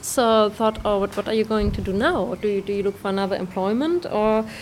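A woman with a German accent and a fairly high pitch. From Germany. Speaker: pastry chef and dog bakery owner. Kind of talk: interview.

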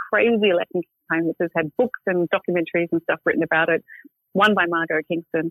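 Speaking very fast with an Australian accent, a woman has a fairly low voice. Her loudness stays very even and her intonation fairly even. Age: 50s. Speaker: magazine editor. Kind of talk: interview.

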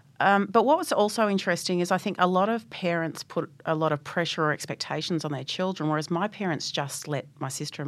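This woman speaks at a fairly quick pace with an Australian accent. Her pitch is fairly low, with ordinary variation. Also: hardly any pauses, very clean recording, silent background. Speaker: technology executive. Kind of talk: interview.

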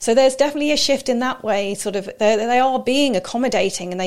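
A woman speaks with a southern English accent at a fairly high pitch. The recording is very clean, with a silent background. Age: 40s. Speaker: personal trainer. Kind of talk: casual interview.

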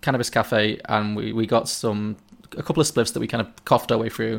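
With a Liverpool accent, a man talks at a very fast pace. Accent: Scouse (Liverpool). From Liverpool, England. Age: 30s. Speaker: podcast guest. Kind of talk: casual chat.

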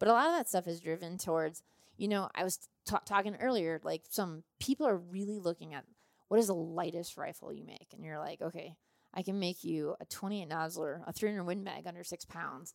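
A woman with an American accent speaks at a fairly quick pace in an unremarkable speaking voice, fairly low-pitched with ordinary pitch variation and big swings in loudness, recorded dry and close with no echo. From US Midwest, southeastern Minnesota. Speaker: firearms company sales and marketing executive, hunter. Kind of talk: casual interview. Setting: on location during a hunting trip in Utah.

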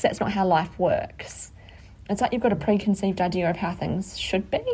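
At a moderate pace and with ordinary pitch variation, the speaker talks with an Australian accent. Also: woman. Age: 30s. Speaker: podcast co-host. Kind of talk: casual chat.

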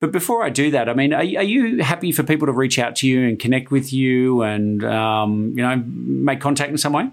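Speaking at a fairly quick pace with hardly any pauses, a man keeps a medium pitch, ordinary pitch variation and very even loudness. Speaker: podcast host. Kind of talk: interview. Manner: halting, repeats words.

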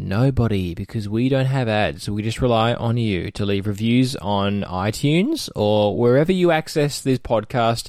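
This is a man with an Australian accent. His voice sits at a medium pitch. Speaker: podcast host. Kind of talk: interview.

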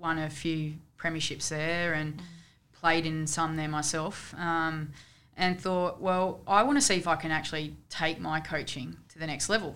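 With an Australian accent, a woman speaks at a moderate pace in a very deep, low pitch. Her intonation is fairly even, and there is audible room echo. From Canberra, Australia. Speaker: football coach. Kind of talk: casual chat.

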